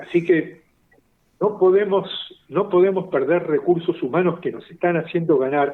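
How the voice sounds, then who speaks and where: A man speaks with a high pitch. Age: 70s. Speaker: science journalist and writer. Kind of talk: interview.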